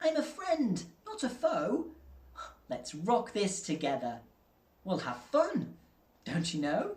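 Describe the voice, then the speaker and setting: Using a put-on character voice, a man speaks high-pitched and squeaky with very wide pitch swings, at a fairly slow pace with long, frequent pauses. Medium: read story. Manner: timid, squeaky.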